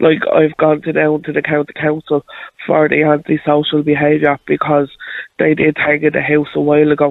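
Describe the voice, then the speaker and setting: A woman with a Dublin accent talks at a moderate pace. Her pitch is very deep and low, and her intonation is monotone and flat. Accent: Dublin Irish. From Dublin, Ireland. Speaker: caller. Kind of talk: casual chat. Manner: halting.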